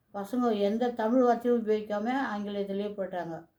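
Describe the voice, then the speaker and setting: This woman's voice sits at a fairly high pitch with a dark, mellow tone. Her intonation is fairly even. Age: 80s+. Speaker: retired teacher. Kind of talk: personal reminiscence talk.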